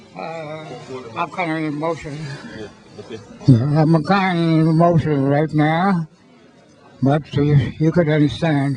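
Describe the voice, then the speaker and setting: A fairly high-pitched man with an American accent, fairly even intonation and long, frequent pauses, over noticeable background noise. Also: fairly slow pace. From US Virgin Islands, St. Croix. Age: 80s+. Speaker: centenarian. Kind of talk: speech at birthday celebration. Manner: halting.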